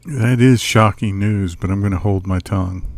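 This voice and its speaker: A man speaks in a put-on character voice. It sits at a fairly low pitch and moves at a moderate pace. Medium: video game. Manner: polite, dry.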